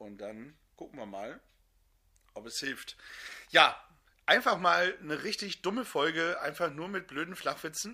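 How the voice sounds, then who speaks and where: His high-pitched voice swings very widely in pitch and loudness. The man speaks at a fairly slow pace with long, frequent pauses. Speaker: podcast co-host. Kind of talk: casual chat. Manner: subdued.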